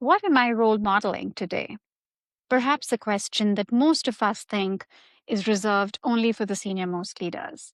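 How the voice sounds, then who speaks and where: This normal speaking voice moves at a moderate pace with ordinary pitch variation. The recording is very clean and dry, heard up close with no echo against a silent background. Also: woman, fairly high pitch for a woman. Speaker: podcast host. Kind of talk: podcast intro narration.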